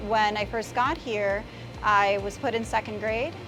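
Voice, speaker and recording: Music plays in the background as a woman speaks with a Miami accent. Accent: Miami American English. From Miami, Florida (born in Nicaragua, moved at seven). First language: Spanish. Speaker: local politician and attorney. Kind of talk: interview. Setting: gelato shop.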